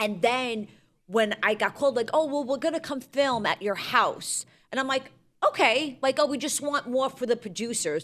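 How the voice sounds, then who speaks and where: A high-pitched woman with a New York accent speaks at a moderate pace with ordinary pitch variation. The recording is very clean, with a silent background. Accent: Staten Island (New York). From US Northeast, Staten Island, New York. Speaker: reality TV contestant. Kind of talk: casual chat. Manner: animated.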